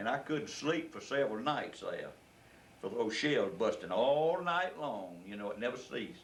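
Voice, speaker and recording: A man with a Southern US accent talks at a moderate pace and fairly high pitch, his voice swinging very widely in pitch amid audible room echo. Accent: Southern US (Georgia). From US South, rural Georgia. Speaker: war veteran. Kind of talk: oral history interview. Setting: at home. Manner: halting.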